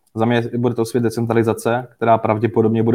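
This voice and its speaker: Speaking very fast, a man keeps a monotone, flat delivery at a medium pitch with a dark, mellow tone. The sound is dry and close with no echo, over a quiet background. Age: 20s. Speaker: cryptocurrency investment expert. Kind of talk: interview. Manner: halting, with many fillers.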